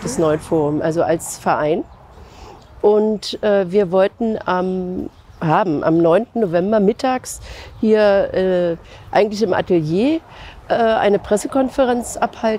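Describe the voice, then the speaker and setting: Pausing long and often, a woman speaks at a very slow pace with a medium pitch and lively intonation, in a dry sound with no echo and light background noise. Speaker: civil rights activist, contemporary witness. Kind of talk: interview answer. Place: street.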